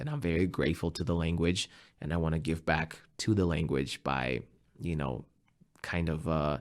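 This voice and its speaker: In a very deep, low voice with vocal fry, a man with a Russian accent speaks at a moderate pace with long, frequent pauses, on a very clean recording with a silent background. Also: ordinary pitch variation. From Russia, western Siberia. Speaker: musician and English teacher. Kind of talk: interview conversation.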